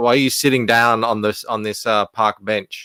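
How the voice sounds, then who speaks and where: A man with an Australian accent speaks with fairly even intonation on a very clean recording with a silent background. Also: dry, close sound with no echo. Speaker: comic book creator. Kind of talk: casual chat. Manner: halting, many fillers.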